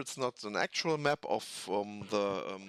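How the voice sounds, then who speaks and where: A man with a German accent, ordinary pitch variation, a dry, close sound with no echo, and a very clean recording with a silent background. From Germany. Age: 40s. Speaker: tabletop hobby youtuber. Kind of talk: casual hobby talk. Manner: halting, many fillers.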